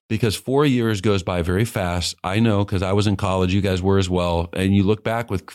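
A man with an American accent and an unremarkable speaking voice talks at a fairly low pitch and a moderate pace in a very clean recording with a silent background. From Kansas City, Missouri. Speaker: seminary dean and former evangelist. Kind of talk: interview.

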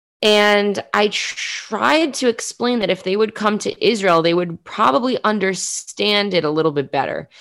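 Her medium-pitched voice moves at a moderate pace with lively intonation, hardly any pauses and very even loudness as the woman speaks. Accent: New York. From New York City (Queens). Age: 20s. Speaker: journalist and podcaster. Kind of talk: interview.

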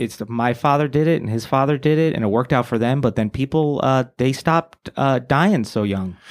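On a very clean recording with a silent background, a man with an American accent speaks in a normal speaking voice at a medium pitch and moderate pace, with ordinary pitch variation and hardly any pauses. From New York area (born New Jersey). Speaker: comedian. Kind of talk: casual chat.

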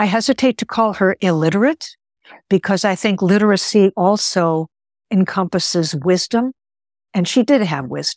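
A normal speaking voice from a woman with an American accent, medium in pitch, at a moderate pace, with lively intonation and a dry, close sound with no echo. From US Midwest (Chicago), Greek-speaking home. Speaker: actor, lawyer and writer. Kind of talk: interview.

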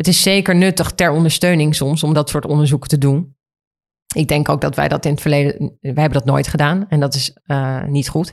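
At a fairly quick pace, a woman speaks with a very deep, low pitch and fairly even intonation. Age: 40s. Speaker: fashion magazine editor-in-chief. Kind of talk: interview.

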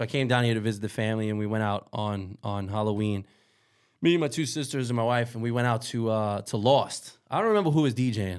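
A man with a New York accent, talking very fast at a medium pitch with ordinary pitch variation, on a very clean recording with a silent background. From New York City, Queens. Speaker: DJ. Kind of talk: casual chat. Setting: studio.

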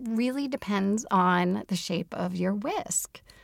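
This very clean recording has a silent background. A woman uses a plain, everyday voice, fairly high in pitch with lively intonation. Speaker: baker and cookbook author. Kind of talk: casual interview chat.

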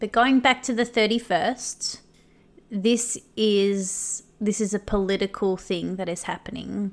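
A woman with an Australian accent at a medium pitch and a fairly slow pace, on a very clean recording with a silent background. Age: 30s. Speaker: podcast host. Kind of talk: monologue rant. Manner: animated.

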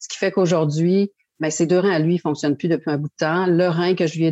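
A woman speaks with fairly low pitch and flat, monotone intonation. The background is quiet. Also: dry, close sound with no echo. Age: 60s. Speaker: kidney foundation chair and living kidney donor. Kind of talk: testimony.

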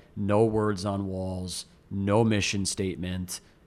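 A man with an American accent has an unremarkable speaking voice pitched fairly low. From rural upstate New York. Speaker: restaurant chain CEO. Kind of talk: casual interview chat.

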